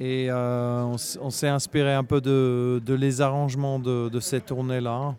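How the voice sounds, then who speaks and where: A man speaking at a very slow pace in a flat monotone, over noticeable background noise. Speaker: musician. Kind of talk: casual interview chat.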